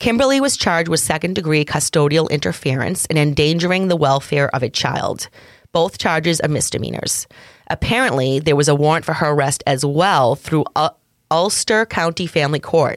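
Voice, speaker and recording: A woman's very deep, low voice in a Massachusetts accent, fairly quick in pace and very even in loudness. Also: ordinary pitch variation. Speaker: true crime podcast co-host. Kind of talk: casual chat.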